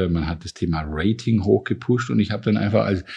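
A dark, mellow tone carries the speech at a moderate pace. The background is quiet. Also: man. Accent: Swabian. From Swabia, southwest Germany. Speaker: university president and economics professor. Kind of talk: interview conversation.

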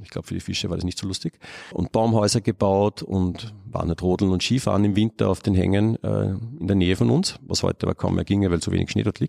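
A man with an Austrian accent talks at a very fast pace in a dark, mellow tone. His pitch is fairly low with ordinary variation, and the sound is dry and close with no echo. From Upper Austria. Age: 40s. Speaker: ecologist and biodiversity researcher. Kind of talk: interview. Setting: palm house of a botanical garden.

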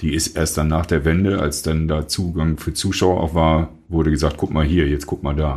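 A man with a very deep, low voice speaks at a moderate pace in a monotone, flat intonation, somewhat breathy and with hardly any pauses. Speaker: rock musician. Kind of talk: casual interview chat.

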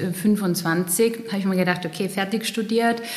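A woman with a slight Styrian accent, medium in pitch and monotone in intonation, at a fairly slow pace, with audible room echo and noticeable background noise. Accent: slight Styrian Austrian dialect. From Austria, eastern Styria. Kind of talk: casual interview.

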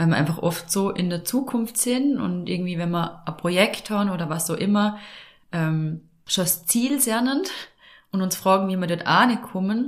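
Somewhat breathy, a woman speaks at a medium pitch. Her pace is moderate, and her pitch varies in an ordinary way. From Austria, Vorarlberg. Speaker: podcast host and life coach. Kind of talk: casual chat.

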